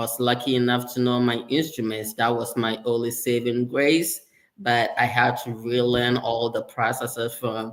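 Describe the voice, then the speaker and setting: With a slight Ghanaian accent, a man talks at a medium pitch. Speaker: sterile processing leader, former surgical tech. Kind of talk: interview conversation.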